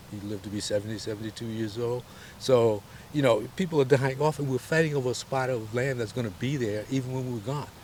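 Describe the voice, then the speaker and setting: Somewhat breathy, a man with an American accent talks very fast at a medium pitch with ordinary pitch variation. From US South (Selma, Alabama). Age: 70s. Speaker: voter interviewee. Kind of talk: interview.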